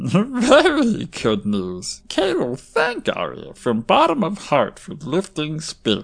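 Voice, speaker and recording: A put-on character voice at a middle pitch and fairly slow pace. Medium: audio drama. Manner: broken, simplified speech, refers to self in third person.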